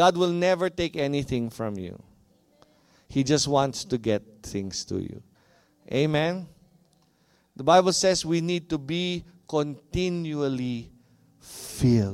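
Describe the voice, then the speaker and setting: A man with a Filipino accent, fairly high pitch and lively intonation, very slow with long, frequent pauses. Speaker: pastor. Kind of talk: sermon; mock infomercial pitch in a sermon. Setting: church. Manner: passionate, audience-engaging.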